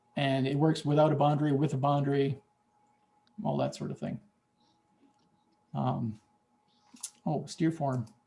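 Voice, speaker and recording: A man's fairly high voice, dark and mellow in tone and somewhat breathy, with fairly even intonation, a moderate pace, and long, frequent pauses. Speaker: software developer. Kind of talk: software demo in online meeting. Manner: casual, halting.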